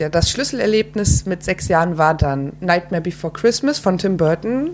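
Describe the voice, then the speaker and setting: A woman talks at a moderate pace, and noticeable background noise can be heard around her. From Frankfurt, Germany. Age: 20s. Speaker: filmmaker. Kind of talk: casual interview. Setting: at home.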